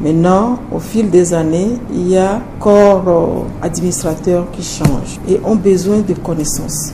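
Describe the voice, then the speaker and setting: A woman talks at a very slow pace. The room echo is audible, and there is noticeable background noise. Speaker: hospital director. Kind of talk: interview.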